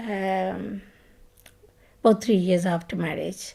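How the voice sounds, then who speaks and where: Speaking very slowly in a Pakistani Punjabi accent, a woman uses a dark, mellow, medium-pitched voice with fairly even intonation. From Punjab, Pakistan. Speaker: retired project manager. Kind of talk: oral history interview answer.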